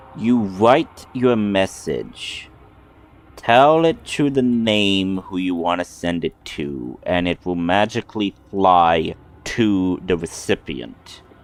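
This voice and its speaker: A man's put-on character voice, fairly low in pitch, at a very slow pace. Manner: condescending.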